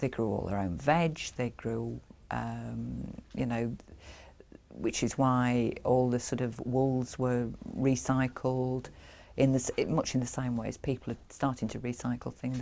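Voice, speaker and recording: A woman with a Yorkshire accent speaks at a fairly slow pace. The recording is very clean, with a silent background. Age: 50s. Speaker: craftswoman. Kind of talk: interview. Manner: halting.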